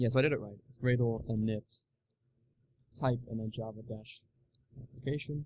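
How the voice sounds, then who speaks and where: A man's medium-pitched, somewhat breathy voice with fairly even intonation, big swings in loudness, and long, frequent pauses. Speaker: programming tutorial youtuber. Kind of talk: live coding tutorial. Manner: fast, thinking aloud with many fillers.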